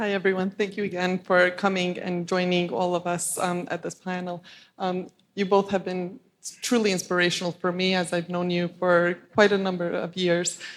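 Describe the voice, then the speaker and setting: A very clean recording with a silent background captures a woman at a medium pitch. Her moderate-paced delivery has monotone, flat intonation. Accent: Albanian. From US Northeast, Staten Island, New York. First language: Albanian. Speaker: panelist. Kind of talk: panel discussion.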